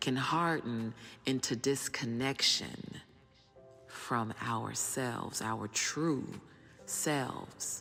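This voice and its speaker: A woman's very deep, low voice at a very slow pace, with music in the background. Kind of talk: personal reflection to camera. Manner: earnest, heartfelt.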